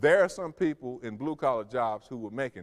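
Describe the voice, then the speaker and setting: Talking at a fairly quick pace with lively intonation, a man uses a plain, everyday voice with an American accent. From US South, Memphis Tennessee. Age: 40s. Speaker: human resources executive, public speaker. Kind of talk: lecture.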